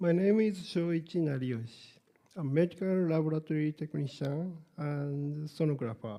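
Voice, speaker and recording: In a Japanese accent, this voice has a dark, mellow tone, ordinary pitch variation and a moderate pace. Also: man, fairly high pitch for a man. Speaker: sonographer. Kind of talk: conference lecture.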